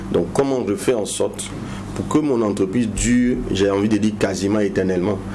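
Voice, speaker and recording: Fairly low in pitch, a man speaks at a fairly quick pace with fairly even intonation, amid noticeable background noise and audible room echo. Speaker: business consultant. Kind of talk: TV interview.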